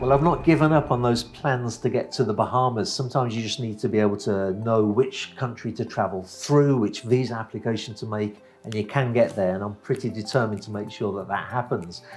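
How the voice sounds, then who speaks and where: A man's fairly quick speech with hardly any pauses, ordinary pitch variation and light background noise. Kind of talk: casual vlog chat. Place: office. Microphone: lapel.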